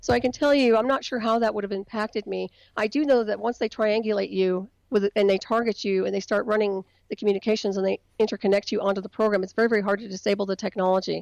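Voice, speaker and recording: Very fast speech with fairly even intonation in a dry, close sound with no echo. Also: woman, medium pitch for a woman. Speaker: independent researcher on covert technology. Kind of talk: interview.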